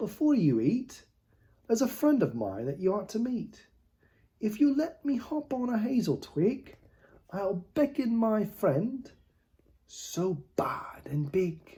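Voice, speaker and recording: A man's put-on character voice, high-pitched, broken by long, frequent pauses. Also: fairly slow pace. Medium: read story.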